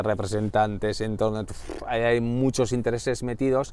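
A man with an ordinary speaking voice, fairly even intonation and a moderate pace, in a dry sound with no echo. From Basque Country, Spain (Irun, Gipuzkoa); Basque Country, Spain. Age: 40s. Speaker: director of an organizational culture centre; interview guest. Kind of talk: interview. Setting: in-person at the centre's building. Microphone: lapel.

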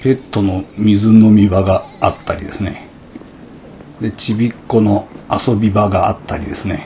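In a Hiroshima accent, the speaker uses a relaxed tone with monotone, flat intonation at a fairly slow pace over light background noise. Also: man, fairly low pitch for a man. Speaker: motorbike touring vlogger. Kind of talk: casual vlog narration. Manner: relaxed, easygoing. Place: open country. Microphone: phone near.

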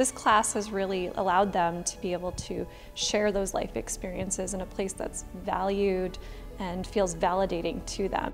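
A woman talks at a moderate pace with fairly even intonation, faint music playing in the background. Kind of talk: interview answer. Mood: earnest, warm. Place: home room.

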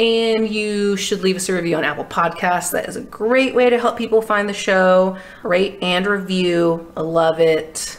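With an American accent and a medium pitch, a woman speaks fairly slowly with ordinary pitch variation and hardly any pauses over noticeable background noise. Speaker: podcast co-host and student. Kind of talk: casual chat. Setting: in person studio recording.

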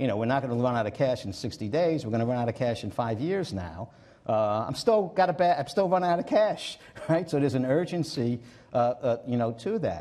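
Very wide pitch swings mark this man's fairly quick delivery. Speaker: guest. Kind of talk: interview answer. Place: stage. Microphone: lapel.

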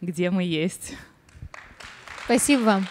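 In an ordinary speaking voice, a woman talks at a moderate pace and medium pitch with ordinary pitch variation. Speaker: interviewer and channel author; interview host. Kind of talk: public talk interview. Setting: stage with audience. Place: stage. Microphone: handheld.

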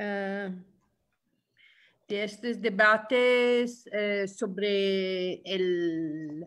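A woman with an Italian accent, medium pitch and ordinary pitch variation. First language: Italian (speaking Spanish). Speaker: trade union leader. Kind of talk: webinar talk. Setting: video call. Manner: halting, many hesitations.

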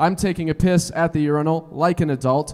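Against a quiet background, a man with an American accent talks at a fairly high pitch and a fairly slow pace. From Colorado. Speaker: stand-up comedian. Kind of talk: stand-up comedy set. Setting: stage with live audience. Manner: high-energy, loud, crowd-working. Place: stage. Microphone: handheld.

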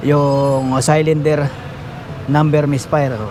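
Noticeable background noise runs under this recording. A man speaks at a fairly high pitch with fairly even intonation. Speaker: auto mechanic vlogger. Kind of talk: tutorial. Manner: casual.

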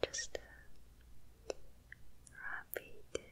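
Very slowly, a woman whispers in a soft-spoken way, with light noise in the background. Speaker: ASMR content creator. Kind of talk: soft casual ASMR chat. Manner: soft ASMR whisper close to microphone. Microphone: studio mic.

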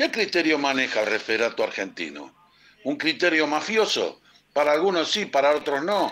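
On a very clean recording with a silent background, a man with a fairly high, bright, sharp voice and vocal fry speaks at a moderate pace with lively intonation and very even loudness. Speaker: caller.

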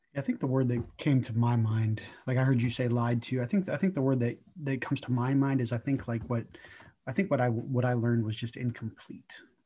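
A man speaks at a medium pitch and a fairly quick pace. His tone is dark, mellow and somewhat breathy, with ordinary pitch variation. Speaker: church discussion group leader. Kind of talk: group discussion with opening prayer. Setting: video call. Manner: casual, repetitive fillers.

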